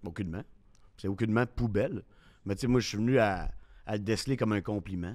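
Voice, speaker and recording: Speaking at a very fast pace broken by long, frequent pauses, a man uses a fairly low pitch with ordinary pitch variation. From Quebec City. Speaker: sports radio host. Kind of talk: casual chat.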